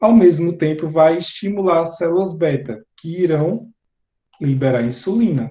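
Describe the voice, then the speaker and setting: A man speaks at a high pitch with a dark, mellow tone. His pace is fairly slow, with ordinary pitch variation. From Bahia interior, Brazil. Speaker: teacher. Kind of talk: lecture.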